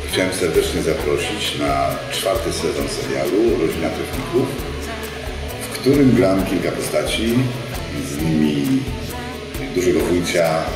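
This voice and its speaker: A man talks at a fairly slow pace with long, frequent pauses. Clear music plays in the background, and there is audible room echo. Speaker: voice actor. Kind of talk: promotional announcement to camera. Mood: warm, friendly. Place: studio.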